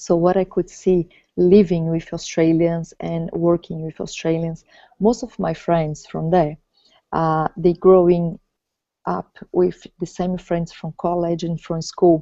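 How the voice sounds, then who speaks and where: Very slowly and in a flat monotone, a woman with a Portuguese accent speaks in a fairly low, dark, mellow voice, the sound dry and close with no echo. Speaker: vlogger. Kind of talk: casual chat. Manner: halting.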